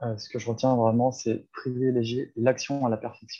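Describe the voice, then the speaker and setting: The tone is dark and mellow, the intonation monotone and flat. The pace is fairly slow. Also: man. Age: 30s. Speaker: life coach. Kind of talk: casual chat.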